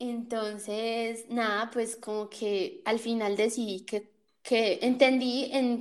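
This woman's voice sits at a fairly high pitch. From Colombia, Cali area (Jamundí, Valle del Cauca). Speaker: podcast host. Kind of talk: casual chat. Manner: animated.

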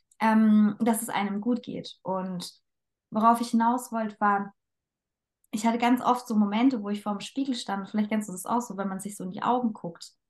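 Somewhat breathy and fairly high-pitched, a woman speaks in monotone, flat intonation. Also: moderate pace. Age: 20s. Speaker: dance teacher and coach. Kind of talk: casual chat.

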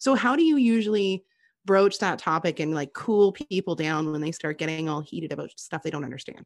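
Against a quiet background, a woman with a Canadian accent speaks in a plain, everyday voice. Her pitch is fairly low, her pace fairly quick, and her intonation lively. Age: 30s. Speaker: podcast guest, podcaster. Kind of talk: casual chat. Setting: call.

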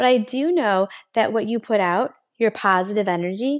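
The background is quiet. A woman talks at medium pitch with ordinary pitch variation. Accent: Western New York. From Buffalo, New York, US. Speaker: motivational podcaster. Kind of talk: motivational monologue. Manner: animated.

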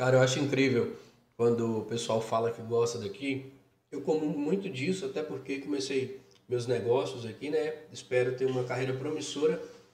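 Room echo can be heard around the voice. A man speaks at a medium speed. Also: medium pitch for a man, ordinary pitch variation. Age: 20s. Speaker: podcast host. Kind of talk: casual interview.

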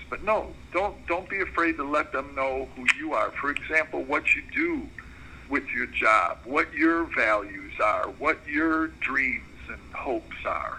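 Against noticeable background noise, a man with an American accent speaks at a fairly slow pace. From Chicago, northwest side. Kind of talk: mentoring talk on conference call. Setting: phone/conference call.

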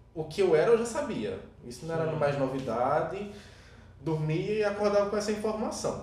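A high-pitched man's voice with audible room echo. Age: 20s. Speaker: podcast co-host. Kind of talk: casual chat.

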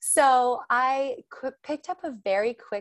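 A woman speaks with an American accent in an animated tone. Her pitch swings very widely. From Texas, Austin. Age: 30s. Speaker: interior stylist. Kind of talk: casual interview.

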